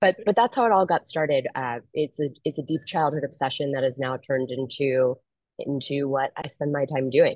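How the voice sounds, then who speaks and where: A woman talks with an American accent at a moderate pace. Her pitch is very deep and low, with ordinary variation. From US Northeast, Philadelphia. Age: 30s. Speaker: ocean conservation expedition leader and marketing strategist. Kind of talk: interview.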